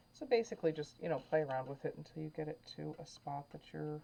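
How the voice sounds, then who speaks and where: A woman talking very fast, with a very deep, low pitch, a dark, mellow tone and vocal fry. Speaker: painting instructor. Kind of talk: tutorial. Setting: at home. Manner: whispering, soft; halting, many fillers.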